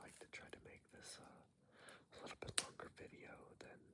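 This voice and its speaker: The speaker whispers throughout. The pace is moderate. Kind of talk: ASMR whispered ramble. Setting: outdoors. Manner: whispered.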